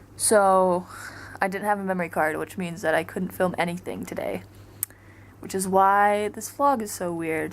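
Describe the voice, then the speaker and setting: Soft-spoken and at medium pitch, a woman talks at a moderate pace with fairly even intonation. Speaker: travel vlogger. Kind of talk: casual vlog monologue. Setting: hotel hallway. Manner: chatty, halting with fillers.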